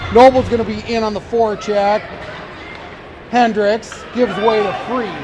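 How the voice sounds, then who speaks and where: Against noticeable background noise, a man with an American accent speaks loudly at a moderate pace, his high pitch delivered in a monotone, flat intonation. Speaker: amateur play-by-play announcer. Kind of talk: live commentary. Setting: ice arena.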